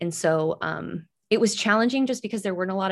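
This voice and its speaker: The woman talks very fast. Her voice is medium in pitch and varies in an ordinary way. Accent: Midwestern American. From western Iowa, small town. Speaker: public radio digital producer. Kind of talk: interview.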